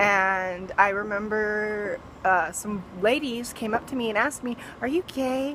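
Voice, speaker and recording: There is noticeable background noise behind the speaker. A woman with an American accent uses lively intonation. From US West (Fresno, California). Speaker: vlogger. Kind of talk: personal storytelling. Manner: casual, many fillers.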